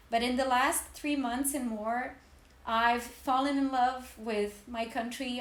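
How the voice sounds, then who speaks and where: With audible room echo around her, a woman talks in a high pitch using monotone, flat intonation. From Serbia, Belgrade. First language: Serbian. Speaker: podcast co-host, art historian. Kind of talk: casual podcast chat.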